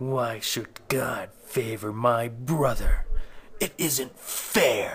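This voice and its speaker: A man's put-on character voice at a medium pitch, delivered at a very slow pace. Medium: dub.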